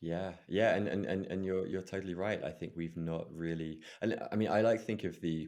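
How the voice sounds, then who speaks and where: With an English accent, a man speaks at a moderate pace in a very deep, low pitch, his intonation fairly even and with hardly any pauses. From England. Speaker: breathwork facilitator and meditation coach. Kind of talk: interview conversation.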